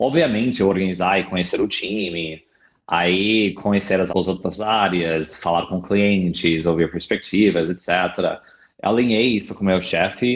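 Against a quiet background, a man with an American accent and a very deep, low pitch speaks at a fairly slow pace with fairly even intonation. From US, California. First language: English (speaking Portuguese). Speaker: product marketing director. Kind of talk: interview.

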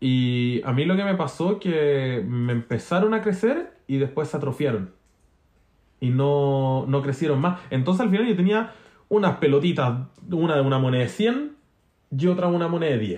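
A man speaks in a Chilean accent at a moderate pace. His pitch is fairly high, and his intonation is lively. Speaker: podcast co-host. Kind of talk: casual chat.

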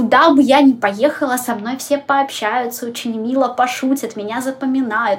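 A woman speaks at a moderate pace in a high voice. Noticeable background noise can be heard. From Ukraine, Kryvyi Rih. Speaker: tour guide and photographer. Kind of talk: interview.

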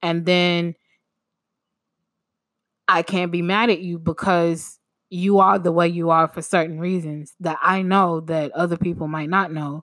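Speaking at a fairly slow pace, a woman uses a fairly low pitch and a fairly bright tone with little pitch movement.

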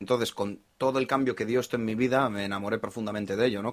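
A man's fairly low voice at a very fast pace with fairly even intonation, on a very clean recording with a silent background. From Spain, Basque Country (Bilbao). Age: 30s. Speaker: investor. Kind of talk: casual chat.

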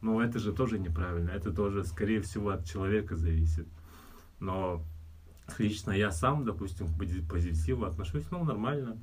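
A man's very deep, low voice with ordinary pitch variation, very even loudness, a moderate pace, long and frequent pauses, and audible room echo. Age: 30s. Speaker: fitness trainer. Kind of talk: casual chat.

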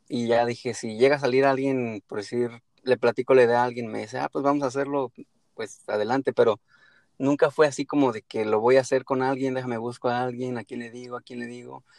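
With a Mexican accent, a man speaks fairly quickly at a medium pitch in a monotone, flat intonation, his loudness swinging widely in a dry, close sound with no echo. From Mexico. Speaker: podcaster. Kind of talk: casual chat. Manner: halting.

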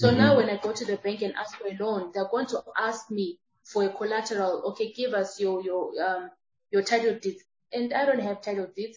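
At a moderate pace, a woman speaks in an unremarkable speaking voice of medium pitch with ordinary pitch variation. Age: 30s. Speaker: transformational speaker and entrepreneur. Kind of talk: interview.

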